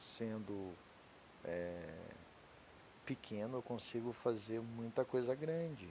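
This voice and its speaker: A man speaks at a very slow pace with long, frequent pauses, his medium pitch moving with ordinary variation. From Brazil, Curitiba. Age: 40s. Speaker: podcaster. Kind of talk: personal monologue. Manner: halting, losing thread.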